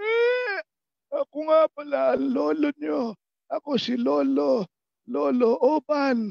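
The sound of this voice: Using a strained, put-on character voice at an extremely high pitch, a man speaks at a very slow pace.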